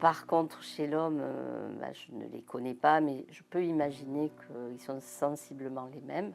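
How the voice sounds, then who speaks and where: A woman's fairly slow speech with big swings in loudness over music in the background. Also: hardly any pauses. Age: 60s. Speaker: breast cancer survivor. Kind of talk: testimony. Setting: studio. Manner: halting, many hesitations.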